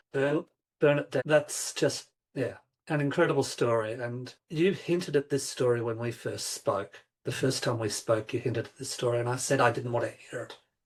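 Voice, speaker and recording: A somewhat breathy man at a moderate pace. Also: big swings in loudness. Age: 50s. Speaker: podcast host. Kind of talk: podcast interview.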